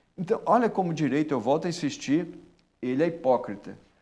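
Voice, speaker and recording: This man talks at a fairly quick pace, his pitch fairly high for a man. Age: 60s. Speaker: public prosecutor. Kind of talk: interview. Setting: studio. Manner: animated.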